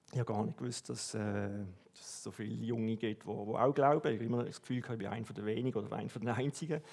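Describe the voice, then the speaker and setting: A man at a medium pitch with a Swiss accent, ordinary pitch variation, a very fast pace and hardly any pauses. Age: 40s. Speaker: church member, customs officer. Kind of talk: testimony.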